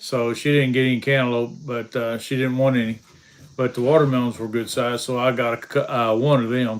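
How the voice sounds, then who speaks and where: A man at medium pitch, fairly quick, with monotone, flat intonation. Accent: American. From Kentucky. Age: 60s. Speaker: homestead channel host. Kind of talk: casual livestream chat reading viewer comments. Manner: hesitant, many fillers.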